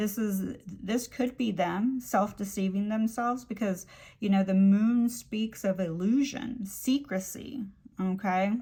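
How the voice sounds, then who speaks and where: A woman speaks fairly slowly at a medium pitch, her voice somewhat breathy. Her pitch variation is ordinary. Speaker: tarot reader. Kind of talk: tarot reading. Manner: rambling with fillers.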